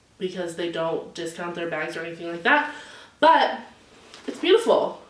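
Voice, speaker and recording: In an animated tone with lively intonation, a woman talks at a moderate pace amid audible room echo and noticeable background noise. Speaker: beauty and lifestyle vlogger. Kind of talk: casual unboxing and show-and-tell vlog. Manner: loud.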